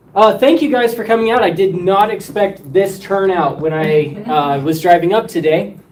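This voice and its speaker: Over noticeable background noise, a man with a high pitch talks at a moderate pace with lively intonation and hardly any pauses. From Wyoming. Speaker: local historian presenter. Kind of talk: oral history talk. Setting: senior center with audience.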